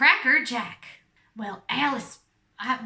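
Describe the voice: Doing a put-on character voice, a woman speaks high and raspy in a Southern accent.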